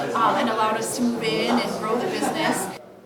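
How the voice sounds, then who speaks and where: With crowd noise in the background, a woman speaks at a fairly quick pace and a fairly high pitch. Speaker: Christmas tree farm owner. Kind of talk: interview answer.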